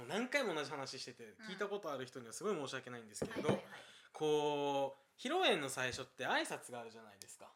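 A man with a Kansai accent, fairly high pitch and very fast pace, lively intonation and big swings in loudness. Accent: Kansai Japanese. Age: 20s. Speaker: podcast co-host, university student. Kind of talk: casual chat. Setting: co-host's home.

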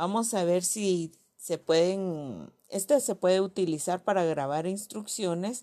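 A woman with a dark, mellow tone speaks very slowly at medium pitch with ordinary pitch variation, recorded very cleanly against a silent background. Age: 40s. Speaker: educator. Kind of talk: scripted presentation. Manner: halting, with frequent fillers.

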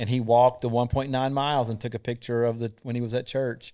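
With a Southern US accent, a man talks at a fairly quick pace and a medium pitch in a monotone, flat intonation. The recording is very clean, with a silent background. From North Carolina (Thomasville). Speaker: combat veteran. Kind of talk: testimony.

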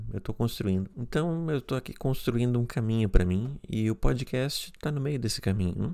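In a very clean recording with a silent background, a man with an ordinary speaking voice talks at a moderate pace and medium pitch, with ordinary pitch variation and hardly any pauses. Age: 30s. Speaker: podcast host. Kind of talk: solo podcast monologue.

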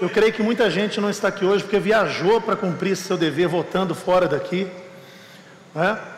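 With a Brazilian accent, a man with a high pitch speaks at a moderate pace with fairly even intonation, amid noticeable background noise and audible room echo. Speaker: pastor. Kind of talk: sermon. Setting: church.

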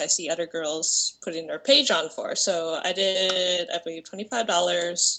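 A woman is speaking. Her pace is moderate. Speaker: part-time stripper and online creator. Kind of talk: casual chat.

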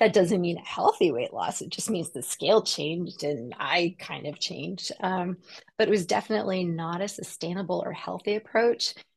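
With an ordinary speaking voice, a woman talks at a moderate pace and medium pitch, showing ordinary pitch variation. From US Pacific Northwest (Seattle). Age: 40s. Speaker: personal trainer and health coach. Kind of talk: casual interview chat.

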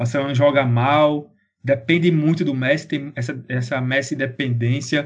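Fairly high pitch and a somewhat breathy sound from a man talking at a moderate pace. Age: 20s. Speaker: sports podcast co-host. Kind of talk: casual chat.

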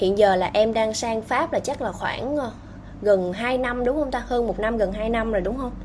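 A woman talks at a moderate pace with ordinary pitch variation. Hers is an ordinary speaking voice with a fairly high pitch. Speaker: podcast host on career guidance. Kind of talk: casual interview. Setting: remote call.

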